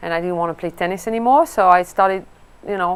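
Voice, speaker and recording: The woman has a French accent and a fairly low pitch. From France. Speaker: golf coach and former pro golfer. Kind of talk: interview. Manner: hesitant, many fillers.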